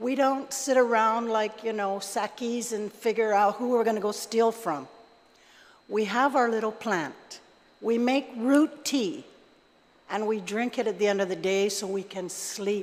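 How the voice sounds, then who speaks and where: This woman has a normal speaking voice, pitched fairly high. She talks at a fairly slow pace with ordinary pitch variation. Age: 60s. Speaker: member of the public testifying at a legislative hearing. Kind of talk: public testimony. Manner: conversational, many fillers.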